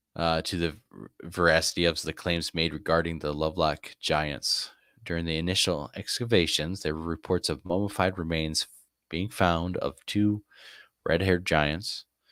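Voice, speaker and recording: A man talks at a moderate pace with a very deep, low pitch and fairly even intonation. The sound is dry and close with no echo, in a very clean recording with a silent background. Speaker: live-stream host. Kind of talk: reading aloud on a live stream. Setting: live stream. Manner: halting, stumbling over words.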